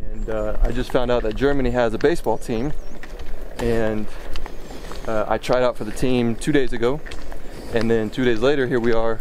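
Speaking at a moderate pace with fairly even intonation, a man comes through over noticeable background noise. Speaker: athlete vlogger. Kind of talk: casual vlog chat. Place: street. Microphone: phone near.

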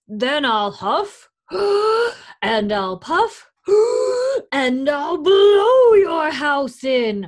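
In a put-on character voice, the speaker talks at a very slow pace with a high pitch and very wide pitch swings. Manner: growling, menacing.

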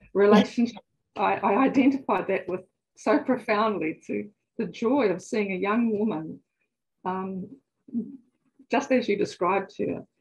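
A woman speaks somewhat breathily, with long, frequent pauses. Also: ordinary pitch variation. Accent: New Zealand. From New Zealand. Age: 70s. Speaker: psychotherapist; guest. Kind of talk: personal testimony. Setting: video call. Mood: earnest, personal, warm. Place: home room. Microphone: video call.

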